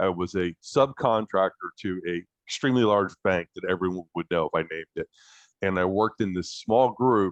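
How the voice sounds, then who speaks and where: A man talks at a moderate pace with a fairly low pitch and ordinary pitch variation. The sound is dry and close with no echo, over a quiet background. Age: 50s. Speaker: project manager. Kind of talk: casual chat. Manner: animated.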